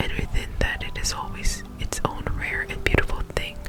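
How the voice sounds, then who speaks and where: A woman whispers at a moderate pace over noticeable background noise. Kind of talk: reading from a book, gentle affirmations. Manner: soft whispering.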